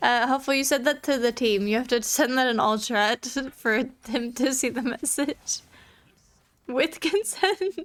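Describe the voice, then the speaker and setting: A woman with a high voice speaks at a moderate pace with ordinary pitch variation. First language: not English. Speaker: streamer. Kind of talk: casual chat while gaming. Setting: live stream. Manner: casual, filler-heavy.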